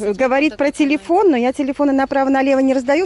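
The delivery is very fast, and the sound is dry with no echo. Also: woman. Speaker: travel vlogger. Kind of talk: casual chat. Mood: cheerful, joking. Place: street. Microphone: phone near.

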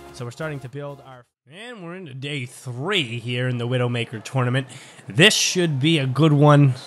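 A man at a moderate pace and medium pitch, ordinary pitch variation, big swings in loudness, and music in the background. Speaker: diecast race commentator. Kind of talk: live race commentary. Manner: animated.

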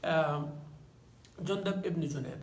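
Amid strong room echo, a man talks at a fairly slow pace, his pitch fairly high with ordinary variation.

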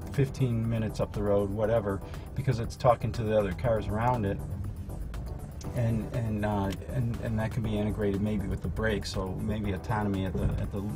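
A man at a fairly quick pace over clear music in the background. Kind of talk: interview answer. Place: hall.

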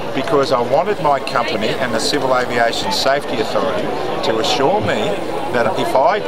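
A man speaks at a fairly quick pace. Loud noise fills the background. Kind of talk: press scrum statement. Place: street.

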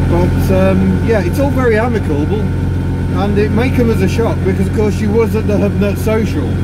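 The speaker keeps a moderate pace over loud background noise. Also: man. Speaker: vlogger driving. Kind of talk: casual vlog chat. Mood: reflective, somewhat subdued. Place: car. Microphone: phone near.

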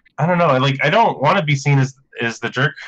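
This man's voice sits at a fairly high pitch. He talks at a moderate pace with ordinary pitch variation. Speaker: comic book writer. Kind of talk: casual podcast conversation about card games. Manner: declarative. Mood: reflective, slightly self-deprecating. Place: home room. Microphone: video call.

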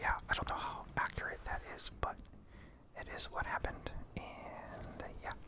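Whispering at a moderate pace against noticeable background noise. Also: man. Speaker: ASMR gaming content creator. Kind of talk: casual talk to camera. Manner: soft-spoken, whispered.

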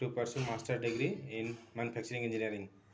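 Over light background noise, a man talks at a very fast pace with a medium pitch and monotone, flat intonation. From India. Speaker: maths tutor. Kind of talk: self-introduction for a job interview. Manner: hesitant, many fillers. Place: home room. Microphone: phone near.

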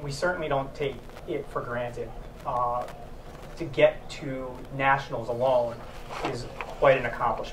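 Over clear background noise, a man speaks at a fairly slow pace and medium pitch with fairly even intonation.

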